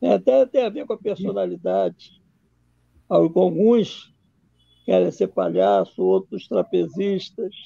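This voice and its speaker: A man at a very slow pace, with long, frequent pauses, a Rio de Janeiro accent and a quiet background. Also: dry sound with no echo. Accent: Rio de Janeiro Brazilian Portuguese (carioca). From Brazil, Rio de Janeiro. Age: 70s. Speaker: documentary filmmaker; interview guest. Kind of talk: interview on a livestream. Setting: video call. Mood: warm, amused storytelling. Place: home room. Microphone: webcam.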